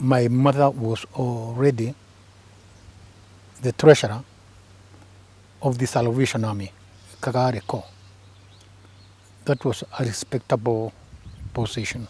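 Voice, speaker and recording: A man's dark, mellow, somewhat breathy voice at a medium pitch, fairly slow with long, frequent pauses and fairly even intonation. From Kenya, Embu. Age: 70s. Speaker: retired government press officer and author. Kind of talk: interview.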